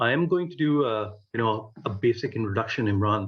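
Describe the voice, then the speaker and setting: Pitched fairly low, this man sounds somewhat breathy. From Pakistan. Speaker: vlog host. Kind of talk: interview.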